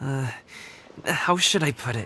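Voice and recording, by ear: In a cartoonish character voice pitched extremely low, a woman speaks slowly with lively intonation, a bright, sharp tone and a slightly husky edge.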